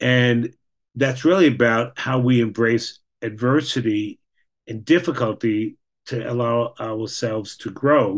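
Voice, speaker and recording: A man with an American accent and an ordinary speaking voice, medium pitch, ordinary pitch variation and a fairly slow pace against a quiet background. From New York. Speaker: clinical social worker. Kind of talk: presentation.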